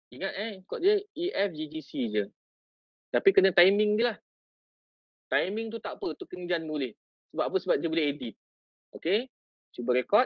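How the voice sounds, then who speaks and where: Against a quiet background with a dry sound and no echo, a man with a Malaysian accent and a high pitch speaks at a moderate pace with lively intonation and long, frequent pauses. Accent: Malaysian Malay. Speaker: teacher and education officer; teacher. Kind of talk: tutorial. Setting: video call. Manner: animated. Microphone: video call.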